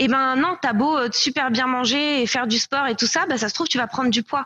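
A woman's high, raised and projected voice with a bright, sharp tone, at a fairly quick pace with ordinary pitch variation, dry and close with no echo, over a quiet background. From France. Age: 20s. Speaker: company co-founder. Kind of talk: casual interview.

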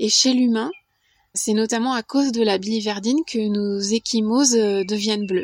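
Using an ordinary speaking voice, a woman speaks at a moderate pace with a fairly high pitch and ordinary pitch variation, the sound dry and close with no echo. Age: 40s. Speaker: podcast volunteer. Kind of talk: scripted narration.

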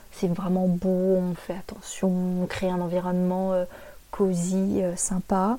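This woman's voice has a dark, mellow tone and sits at a medium pitch. She speaks very slowly in a flat, monotone delivery. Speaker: podcaster. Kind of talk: solo podcast monologue.

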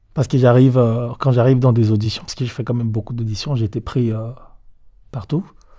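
A man speaks very fast with long, frequent pauses, his intonation fairly even. His voice is medium in pitch, somewhat breathy, with a dark, mellow tone. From DR Congo, Kisangani. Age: 30s. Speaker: dancer and choreographer. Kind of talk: interview storytelling. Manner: halting.

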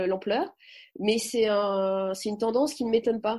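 A woman speaks against a quiet background. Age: 30s. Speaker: comedian. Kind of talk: interview. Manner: halting.

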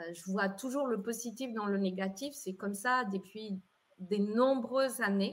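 Fairly slow, somewhat breathy speech from a woman at a medium pitch. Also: ordinary pitch variation. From Colombia. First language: Spanish (speaking French). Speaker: entrepreneur and event organizer. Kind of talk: interview.

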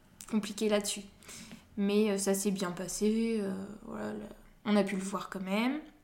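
A woman at a fairly slow pace, medium pitch and monotone, flat intonation, with long, frequent pauses, audible room echo and noticeable background noise. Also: big swings in loudness. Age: 20s. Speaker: mother sharing birth story, social and family economics counsellor. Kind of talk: testimony. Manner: hesitant, many fillers.

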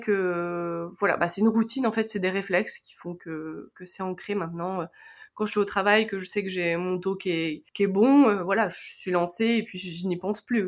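A woman's unremarkable speaking voice with ordinary pitch variation at a moderate pace. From France. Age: 20s. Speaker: karate athlete. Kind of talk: interview testimony.

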